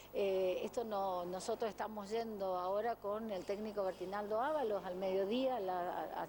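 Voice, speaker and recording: At a moderate pace, a woman speaks in a plain, everyday voice at medium pitch. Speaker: blood bank official. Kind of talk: news interview.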